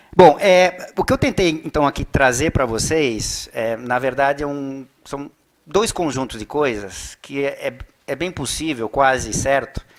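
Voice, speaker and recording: The man's fairly high voice shows ordinary pitch variation. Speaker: economist. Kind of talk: lecture. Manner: fast; animated.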